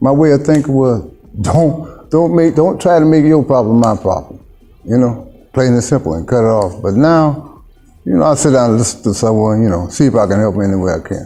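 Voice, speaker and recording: A man's medium-pitched voice at a fairly quick pace with lively intonation, music in the background. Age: 60s. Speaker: mission worker, former client. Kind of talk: interview testimony.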